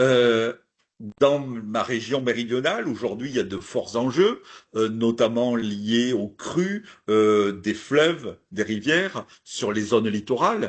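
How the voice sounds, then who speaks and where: Delivered at a very slow pace in a southern French accent, the speech shows ordinary pitch variation. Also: man, medium pitch for a man. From southern France, Hérault area. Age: old. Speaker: archaeologist. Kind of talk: lecture. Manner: hesitant, many fillers.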